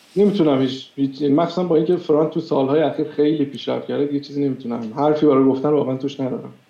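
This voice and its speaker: Very fast speech from a man, fairly high-pitched, with fairly even intonation and noticeable background noise. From Iran. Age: 30s. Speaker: software engineer. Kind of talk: interview.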